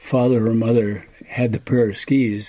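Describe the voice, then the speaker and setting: With an American accent, the speaker talks at a fairly slow pace in a dark, mellow tone with fairly even intonation. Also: man. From Duluth, Minnesota (US Upper Midwest). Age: 80s+. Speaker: retired Nordic ski area owner. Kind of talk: interview. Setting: at his home.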